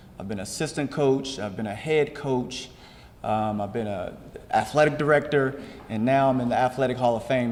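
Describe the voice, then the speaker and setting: Audible room echo surrounds a man speaking fairly quickly with an American accent and ordinary pitch variation. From Maryland, Rockville. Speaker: athletics hall of fame inductee, former coach. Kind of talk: award acceptance speech. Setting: stage with audience. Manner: halting, with repetitions and fillers.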